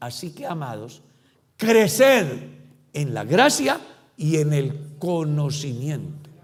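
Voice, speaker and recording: Amid audible room echo, a man talks at a very slow pace. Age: 60s. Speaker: pastor. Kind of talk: sermon.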